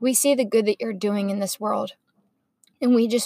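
A somewhat breathy woman with a fairly high pitch speaks at a moderate pace, with a dry, close sound with no echo. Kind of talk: fervent spoken prayer. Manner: intimate, earnest, heartfelt, soft and sincere.

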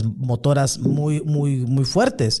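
A man talks with a fairly high pitch. His tone is dark and mellow. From Mexico, Sonora (Hermosillo). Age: 50s. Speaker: human rights activist. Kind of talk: testimony. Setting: studio.

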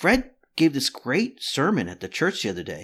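Over a silent background in a very clean recording, a man talks at a fairly quick pace with vocal fry. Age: 50s. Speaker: psychotherapist and sociologist. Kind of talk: interview.

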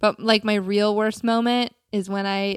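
A woman at medium pitch in a very clean recording, silent in the background, with a dry, close sound and no echo. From US South, South Carolina. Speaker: podcast co-host. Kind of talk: casual chat. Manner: animated.

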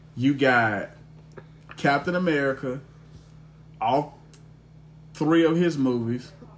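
Very slowly, a man talks in a fairly high pitch with ordinary pitch variation. Long, frequent pauses break his speech over noticeable background noise. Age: 30s. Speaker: podcast host. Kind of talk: casual chat.

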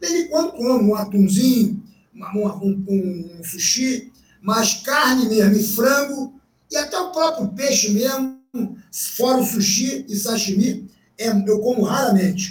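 A man's high-pitched voice with lively intonation. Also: fairly slow pace. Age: 60s. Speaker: jiu-jitsu veteran. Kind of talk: casual interview.

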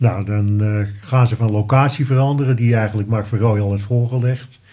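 At a moderate pace, a man with a medium pitch speaks in a dark, mellow, somewhat breathy tone with fairly even intonation. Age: 70s. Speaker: retired wine merchant, listener. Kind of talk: casual interview. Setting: studio.

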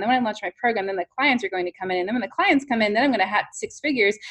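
Very fast and fairly high-pitched, a woman with an American accent talks with ordinary pitch variation in a dry, close sound with no echo. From New York. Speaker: business coach. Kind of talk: interview. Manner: animated.

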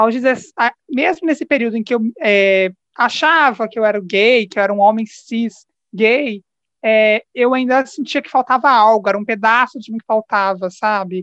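Heard dry and close with no echo, a woman speaks in an unremarkable speaking voice at a fairly high pitch and moderate pace, with ordinary pitch variation and big swings in loudness. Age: 20s. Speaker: podcast guest. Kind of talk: casual chat.

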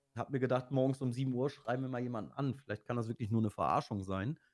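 The man's pitch sits in the middle range and varies in an ordinary way. He speaks very fast. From Lower Saxony, Osnabrück. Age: 40s. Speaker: streamer. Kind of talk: casual interview.

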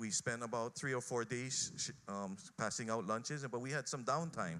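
This man's medium-pitched voice moves fairly slowly, with ordinary variation in pitch. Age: 50s. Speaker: school principal. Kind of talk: testimony. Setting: pre-recorded video. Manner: halting.

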